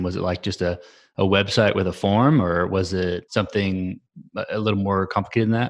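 A man with an ordinary speaking voice talks at a fairly quick pace, his fairly low pitch held in a fairly even intonation, on a very clean recording with a silent background. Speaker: podcast host. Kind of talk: interview.

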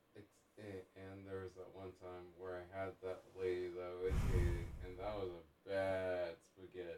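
Against noticeable background noise, a man speaks at a moderate pace in a very deep, low pitch. His intonation is monotone and flat, while his loudness swings widely. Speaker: drop-in friend. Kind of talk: casual chat.

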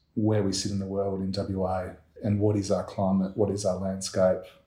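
A man with an Australian accent speaks at a moderate pace. His voice is fairly low, with a dark, mellow tone. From Perth, Western Australia. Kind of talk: interview. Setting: in a house.

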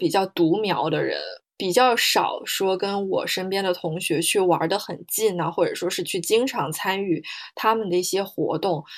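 The delivery keeps to a moderate pace. It is an ordinary speaking voice. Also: woman. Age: 20s. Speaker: podcast co-host, comparative literature PhD student and interpreter. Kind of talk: casual chat.

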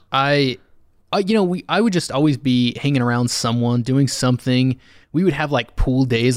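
A man with an American accent, an ordinary speaking voice, medium pitch, ordinary pitch variation and a moderate pace. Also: very clean recording, silent background. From Utah. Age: 30s. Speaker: HVAC service technician. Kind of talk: casual chat. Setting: studio.

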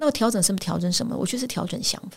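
A woman speaks at a medium pitch in a somewhat breathy voice. The recording is very clean, with a silent background. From Taiwan, Pingtung. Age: 50s. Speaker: headhunting firm founder. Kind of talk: interview.

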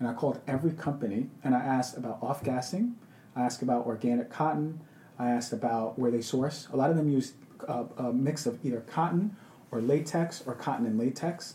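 With an American accent, a man in a normal speaking voice talks at a fairly quick pace and a medium pitch. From Queens, New York. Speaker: functional medicine doctor. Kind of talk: casual interview.

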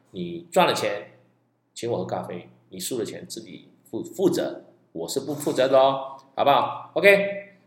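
A man speaks at a fairly slow pace with big swings in loudness. The room echo is audible. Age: 50s. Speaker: stock investing podcaster. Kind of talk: solo podcast monologue.

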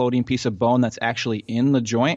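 With a Midwestern American accent, a man speaks at medium pitch and a fairly quick pace. His intonation is monotone and flat. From US Midwest (central Ohio). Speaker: physical therapist and fantasy injury analyst. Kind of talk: podcast interview, explaining injuries.

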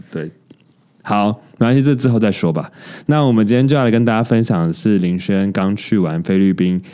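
Fairly quick and lively in intonation, a man talks with a dark, mellow tone at a fairly low pitch. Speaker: podcast co-host. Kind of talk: casual chat.

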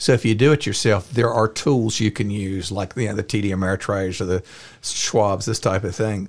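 A man's plain, everyday voice, fairly low in pitch, at a fairly quick pace with fairly even intonation. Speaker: investment firm founder. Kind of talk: casual interview.

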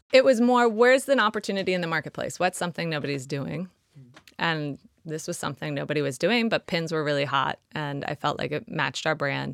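At a fairly quick pace, a woman with a Southern California accent talks in a very deep, low pitch that makes very wide swings. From Los Angeles, California. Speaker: startup founder. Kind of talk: interview conversation.

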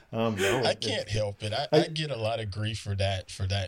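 With a Southern US accent, a man speaks very slowly in a fairly low, somewhat breathy voice on a very clean recording with a silent background. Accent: Southern US drawl. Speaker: podcast guest. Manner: slow, unhurried speech.

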